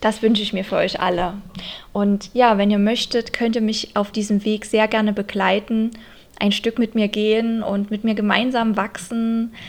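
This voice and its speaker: Using a monotone, flat intonation, a woman with a fairly high pitch talks at a moderate pace. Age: 30s. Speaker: podcast host and dance teacher. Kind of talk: casual monologue; scripted inspirational narration.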